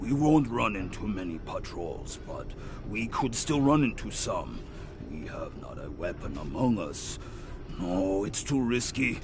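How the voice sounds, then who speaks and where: Over loud background noise, a man puts on a character voice at a fairly slow pace. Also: medium pitch for a man. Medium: video game. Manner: timid, speaks of himself in third person.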